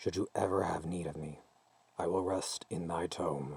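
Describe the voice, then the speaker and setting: In a put-on character voice, a man speaks at a moderate pace, gravelly and booming, with a very deep, low pitch. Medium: read story. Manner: archaic, formal, solemn.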